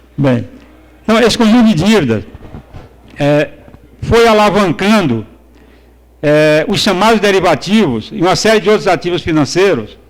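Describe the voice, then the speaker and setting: Lively intonation broken by long, frequent pauses, over noticeable background noise. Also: man, high pitch for a man, moderate pace. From Brazil, Northeast. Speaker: economics professor. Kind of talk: conference lecture. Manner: halting, many fillers and repetitions.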